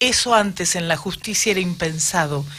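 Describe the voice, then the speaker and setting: A woman's unremarkable speaking voice at a medium pitch, fairly slow in pace, with ordinary pitch variation. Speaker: city councillor. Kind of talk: radio interview. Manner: formal.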